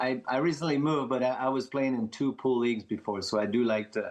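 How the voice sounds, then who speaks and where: With a French Canadian accent, a man speaks at a moderate pace and with ordinary pitch variation. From Quebec, Montreal. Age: 50s. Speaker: professional pickleball player. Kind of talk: casual chat.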